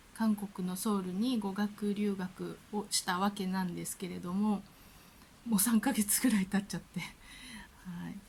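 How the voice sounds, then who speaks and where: A woman speaks at a medium pitch and a moderate pace. Her intonation is monotone and flat, and her voice is somewhat breathy. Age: 50s. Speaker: language student. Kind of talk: casual talk to camera.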